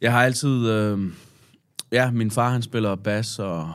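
On a very clean recording where the background is silent, this man takes a very slow pace. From Denmark. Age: 30s. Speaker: hip-hop artist. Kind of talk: casual chat. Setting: studio. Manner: halting.

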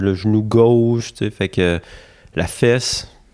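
A man with a dark, mellow tone speaks at a fairly low pitch with fairly even intonation. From Quebec, Charlevoix (Baie-Saint-Paul). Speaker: trail runner. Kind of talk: casual chat. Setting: at his home.

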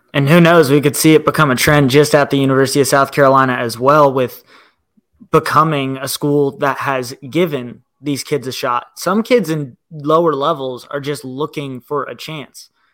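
With an American accent, a man talks at a moderate pace in an ordinary speaking voice with fairly even intonation. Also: fairly high pitch for a man. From Northern Virginia, US. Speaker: sports podcast co-host. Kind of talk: casual sports chat.

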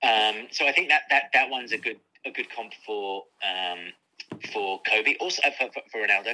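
Speaking at medium pitch with a British accent, a man has a bright, sharp tone. His pace is moderate and his pitch variation ordinary. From UK. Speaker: author and sports journalist. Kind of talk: interview.

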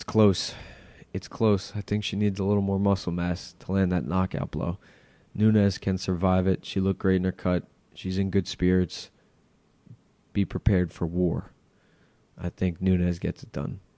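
A man with an American accent speaks at a moderate pace in a very deep, low pitch and a dark, mellow tone, monotone and flat, in a very clean recording with a silent background and dry, close sound with no echo. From Long Island, New York. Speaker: MMA podcaster and fight picker. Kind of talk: solo podcast fight preview.

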